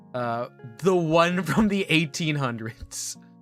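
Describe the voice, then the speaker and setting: A man speaks at a fairly high pitch. Music runs in the background. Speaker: VTuber streamer. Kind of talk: improvised rhyming chat. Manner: soft, sleep-aid style.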